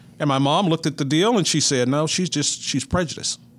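Speaking at a fairly quick pace with an American accent, a man shows ordinary pitch variation. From north central Texas (Mineral Wells). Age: 60s. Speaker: retired sports broadcaster. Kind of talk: interview.

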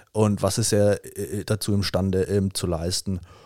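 In a very clean recording with a silent background and a dry, close sound with no echo, a man speaks at a fairly low pitch in a dark, mellow tone with monotone, flat intonation. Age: 30s. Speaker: triathlon team captain. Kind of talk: podcast interview. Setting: studio.

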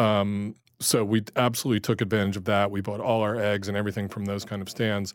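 Monotone, flat intonation comes at a very fast pace in a very clean recording with a silent background. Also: man, fairly low pitch for a man. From New Jersey, US. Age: 60s. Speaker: chef and cookbook author. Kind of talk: casual chat.

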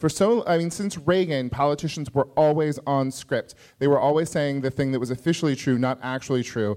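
A man with a plain, everyday voice speaks at a fairly high pitch and a fairly quick pace, with hardly any pauses. His pitch variation is ordinary, and the recording is very clean with a silent background. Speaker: comedian. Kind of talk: live panel discussion. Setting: stage with audience.

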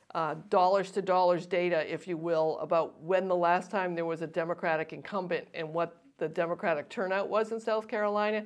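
A woman with an unremarkable speaking voice talks at a moderate pace and medium pitch, with fairly even intonation, against a quiet background. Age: 60s. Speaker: political analyst and co-host. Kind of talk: casual political discussion.

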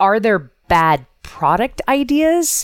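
Very wide pitch swings mark a woman's speech at a very slow pace. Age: 40s. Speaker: intuitive coach and entrepreneur. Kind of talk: casual interview chat.

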